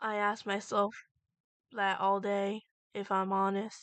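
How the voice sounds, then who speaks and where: A soft-spoken, female-sounding put-on character voice at medium pitch for a woman, delivered in a flat monotone. The pace is fairly slow and the background quiet. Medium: read story. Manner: soft, gentle.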